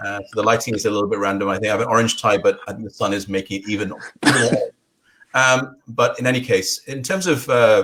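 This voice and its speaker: Here a man with a British accent talks at a fairly quick pace. His medium pitch has ordinary pitch variation. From Scotland and England, Bangladeshi-born. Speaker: investment strategist. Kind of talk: interview.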